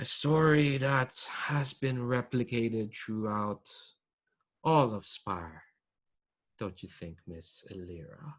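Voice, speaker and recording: A put-on character voice rumbles at a fairly slow pace, with lively intonation. Long, frequent pauses break it up, and the loudness swings widely. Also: man, medium pitch for a man. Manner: formal, commanding, rhetorical.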